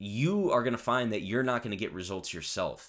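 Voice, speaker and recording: On a very clean recording with a silent background, the speaker uses an energetic tone and a fairly quick pace, with an American accent. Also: man. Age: 20s. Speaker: podcast host. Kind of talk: solo monologue rant. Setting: home recording at computer. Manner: energetic, off the cuff.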